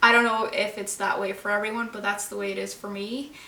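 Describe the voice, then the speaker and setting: A woman speaks with a Norwegian accent. There is noticeable background noise and audible room echo. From Norway. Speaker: book vlogger. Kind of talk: casual vlog monologue.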